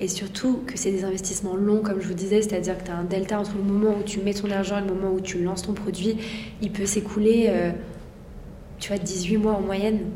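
At a medium pitch and a fairly quick pace, a woman speaks in a monotone, flat way, with audible room echo and noticeable background noise. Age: 20s. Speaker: entrepreneur. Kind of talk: interview. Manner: halting.

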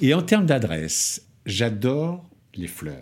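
A man's pitch swings very widely, captured on a very clean recording against a silent background. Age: 50s. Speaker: entrepreneur. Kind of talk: interview answers.

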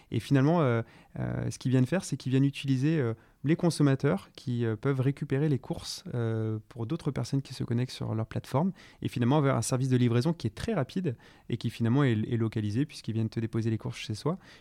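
Talking at a very fast pace, a man with a dark, mellow tone and medium pitch uses ordinary pitch variation in a dry, close sound with no echo. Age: 30s. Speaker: startup co-founder. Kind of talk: podcast interview. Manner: hesitant, many fillers and repetitions.

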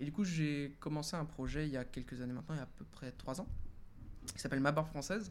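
A man with a fairly high pitch talks at a very fast pace, his pitch varying in an ordinary way. Audible room echo surrounds the voice. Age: 20s. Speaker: freelance web marketer. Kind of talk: casual interview. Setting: live stream with chat.

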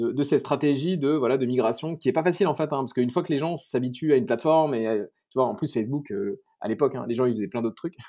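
A man's very fast speech in a dark, mellow tone, fairly high in pitch with ordinary pitch variation, over a quiet background. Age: 30s. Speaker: startup co-founder. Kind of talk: interview. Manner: halting.

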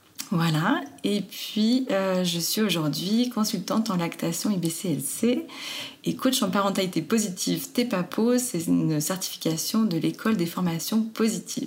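Somewhat breathy, a woman speaks at a fairly slow pace. Her intonation is lively while her loudness stays very even. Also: medium pitch for a woman. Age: 30s. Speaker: lactation consultant and nurse. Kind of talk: interview.

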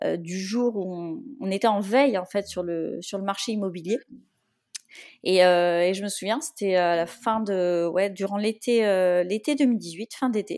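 Very slowly, a woman speaks at a medium pitch with ordinary pitch variation, on a very clean recording with a silent background. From Brittany, France. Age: 30s. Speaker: renovator of an old barn. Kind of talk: interview. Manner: hesitant, many fillers and repetitions.

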